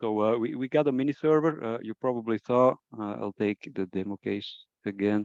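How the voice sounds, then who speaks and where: With a non-native accent, a man speaks at a moderate pace in a dark, mellow tone and fairly low pitch, recorded with a dry, close sound and no echo. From Belgium. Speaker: product trainer. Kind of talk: webinar presentation. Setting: online webinar. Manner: halting, many fillers.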